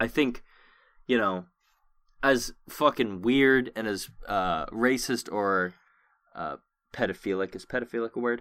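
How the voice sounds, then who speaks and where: Pausing long and often, a man with an American accent talks at a fairly slow pace, his medium pitch showing ordinary variation. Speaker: podcast host. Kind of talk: casual chat, heated argument with swearing. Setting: remote recording over voice chat. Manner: loud, profane, sarcastic, rambling.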